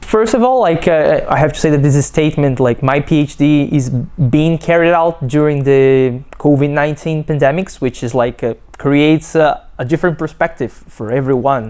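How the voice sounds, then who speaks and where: Hardly pausing, a woman with a Brazilian Portuguese accent speaks in a very deep, low pitch and a dark, mellow tone, with ordinary pitch variation. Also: moderate pace. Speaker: PhD student. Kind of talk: testimony. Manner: halting, many fillers and restarts.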